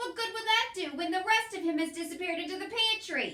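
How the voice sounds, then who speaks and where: A woman's put-on character voice, shouting, raised and projected, at an extremely high pitch, a very fast pace and ordinary pitch variation. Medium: read story. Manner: shouting, bossy.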